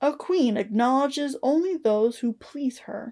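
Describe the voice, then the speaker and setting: A woman's put-on character voice at a high pitch, dry and close with no echo. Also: moderate pace. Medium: read story. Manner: proud and imperious.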